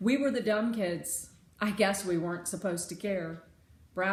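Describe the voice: The plain reading aloud shows ordinary shifts in pitch.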